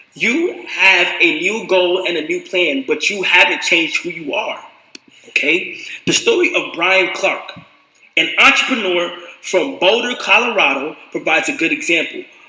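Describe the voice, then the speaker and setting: A man's high voice, moving at a moderate pace with lively intonation, comes through noticeable background noise. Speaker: streamer. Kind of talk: reading aloud. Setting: live stream. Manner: halting.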